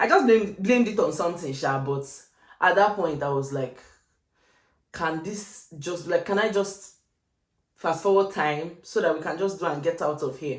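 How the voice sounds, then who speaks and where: A woman's fairly low voice in an animated tone, with long, frequent pauses and audible room echo. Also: ordinary pitch variation, moderate pace. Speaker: lifestyle vlogger. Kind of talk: storytime chat.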